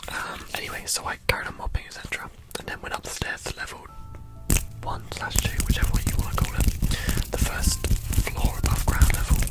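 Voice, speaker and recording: A woman whispers at a fairly quick pace, with big swings in loudness. Music plays in the background. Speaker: ASMR creator. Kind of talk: ghost story told in ASMR. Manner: whispered.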